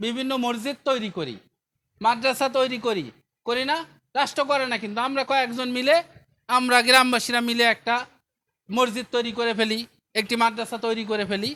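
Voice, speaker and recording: A man speaks in a raised, projected voice at an extremely high pitch, with a bright, sharp tone and fairly even intonation. The recording is very clean, with a silent background. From Bangladesh, Bagerhat. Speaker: charity foundation representative. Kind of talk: public address at relief event.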